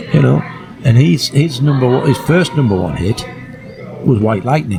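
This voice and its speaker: Noticeable background noise sits under a man's voice. His pitch is medium but swings very widely. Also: moderate pace. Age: 60s. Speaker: music historian and campaigner. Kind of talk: podcast interview. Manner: halting.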